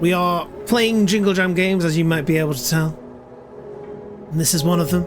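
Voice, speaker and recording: A man with a British accent and a high voice talks at a fairly quick pace, yet with long, frequent pauses. Music plays in the background, and room echo is audible. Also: ordinary pitch variation. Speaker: video game streamer. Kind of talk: live gaming stream commentary. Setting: live stream. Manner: casual, thinking aloud.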